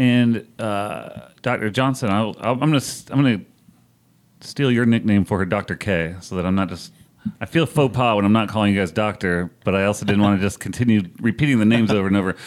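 This man has an ordinary speaking voice, pitched fairly low. He talks at a fairly quick pace with ordinary pitch variation. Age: 30s. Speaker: podcast host and editor. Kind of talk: interview conversation.

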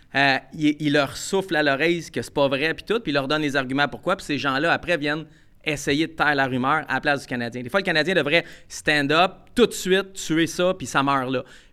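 A man speaks with a Quebec accent at a fairly quick pace. His pitch sits fairly high, with ordinary variation. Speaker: podcast co-host, sports journalist. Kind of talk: casual chat.

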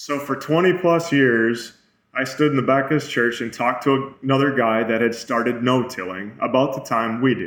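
A man speaks in an ordinary speaking voice with an American accent. His pitch is medium, its variation ordinary, and his pace moderate. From Minnesota. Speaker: farmer and rancher. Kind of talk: interview.

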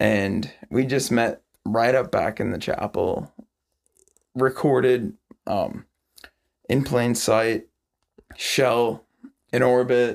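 Very slowly and with long, frequent pauses, a man speaks at medium pitch with vocal fry and ordinary pitch variation. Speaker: rock musician and songwriter. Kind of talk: casual chat. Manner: animated.

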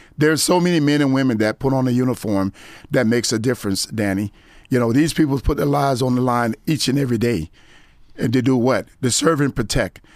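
In a very clean recording with a silent background, a man talks at a very fast pace and medium pitch, with ordinary pitch variation and very even loudness. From Florida (Gifford, Fort Lauderdale). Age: 50s. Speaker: former sheriff's deputy. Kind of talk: testimony.

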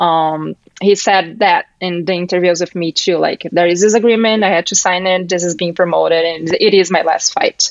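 A woman with a Brazilian accent talks at a moderate pace with hardly any pauses, a fairly low pitch and fairly even intonation. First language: Portuguese. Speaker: MMA journalist. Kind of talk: casual interview chat.

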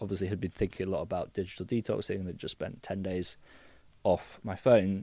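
With a southern English accent, a man speaks at a fairly quick pace in a very deep, dark, mellow voice with fairly even intonation, on a very clean recording with a silent background. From southern England, Cotswolds. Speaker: digital detox business founder. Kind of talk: casual interview chat. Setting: studio.

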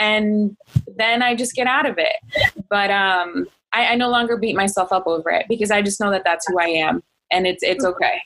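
At a moderate pace, a woman talks in a plain, everyday voice with a fairly high pitch. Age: 30s. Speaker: podcast host. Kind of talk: casual interview.

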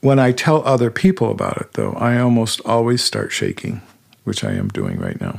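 The speaker has a plain, everyday voice. Pitch varies in an ordinary way at a moderate pace. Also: man, medium pitch for a man. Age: 60s. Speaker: guest sharing personal near-death experience. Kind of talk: testimony.

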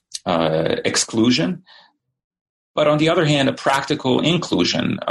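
A man with vocal fry and a fairly high pitch talks at a moderate pace. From Bosnia (Sarajevo). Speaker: historian. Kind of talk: interview.

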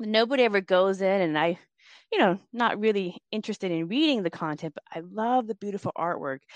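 In a plain, everyday voice, a woman talks at a fairly quick pace with lively intonation, the sound dry and close with no echo. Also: medium pitch for a woman. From US, Laotian immigrant family. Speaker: Buddhist author. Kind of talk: interview.

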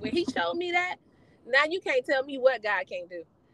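Projecting a raised voice at a moderate pace, a woman speaks high in pitch with very wide pitch swings and a bright, sharp tone. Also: dry, close sound with no echo. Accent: American. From Gary, Indiana. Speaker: trucking school owner. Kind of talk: casual interview.

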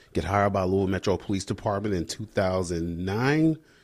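A man's very deep, low voice with an American accent, ordinary pitch variation and a fairly quick pace, in a very clean recording over a silent background. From US military bases. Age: 30s. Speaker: police officer and army veteran. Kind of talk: casual chat.

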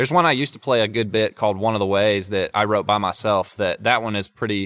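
A man with a Southern US accent, a medium pitch and a fairly quick pace. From North Carolina. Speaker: songwriter. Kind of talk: casual interview chat. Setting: studio.

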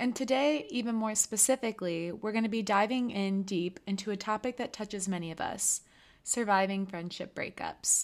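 A plain, everyday voice speaks at a moderate pace with ordinary pitch variation. The recording is very clean, with a silent background. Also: woman, medium pitch for a woman. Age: 20s. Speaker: podcast host. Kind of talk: casual chat.

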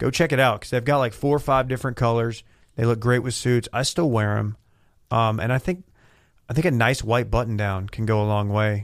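In a very clean recording with a silent background, a man with an ordinary speaking voice talks at a medium pitch and a fairly quick pace, with ordinary pitch variation. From West Texas. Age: 30s. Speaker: podcast co-worker guest. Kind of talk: casual chat. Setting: studio.

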